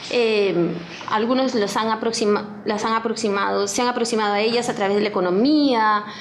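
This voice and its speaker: A woman's fairly high-pitched voice at a fairly slow pace, with audible room echo and noticeable background noise. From Peru. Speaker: historian, professor. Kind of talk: book presentation talk. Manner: reading from notes with fillers.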